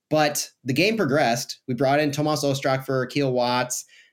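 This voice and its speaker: A normal speaking voice from a man with an American accent, medium pitch, ordinary pitch variation and a moderate pace. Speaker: podcast host. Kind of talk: sports podcast recap and analysis.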